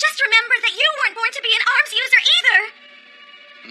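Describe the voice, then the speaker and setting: A cartoonish character voice from a woman, squeaky and extremely high-pitched, with music in the background. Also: moderate pace, ordinary pitch variation. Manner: emotional, urgent.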